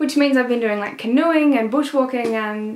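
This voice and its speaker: Over noticeable background noise, a woman with an Australian accent talks at a moderate pace with ordinary pitch variation. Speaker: book reviewer. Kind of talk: casual vlog talk. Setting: at parents' house in the country.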